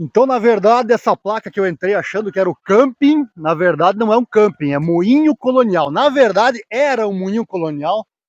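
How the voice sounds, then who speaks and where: A man's high-pitched voice with lively intonation, at a moderate pace with hardly any pauses, dry and close with no echo, over a quiet background. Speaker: travel vlogger and interviewer. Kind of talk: casual talk to camera and interview questions.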